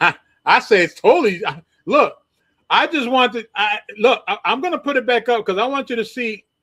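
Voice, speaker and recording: A man's raised, projected voice, extremely high in pitch, with a bright, sharp tone. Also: ordinary pitch variation, moderate pace. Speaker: livestream show host. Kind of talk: casual chat. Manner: halting, stammering.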